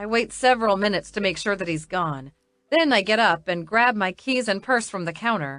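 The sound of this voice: Quiet background behind an unforced reading voice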